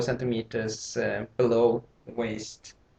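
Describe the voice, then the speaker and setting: This man speaks very slowly in a non-native accent. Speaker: tailor. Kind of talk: tutorial. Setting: home, late at night. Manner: hesitant, with many fillers. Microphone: laptop mic.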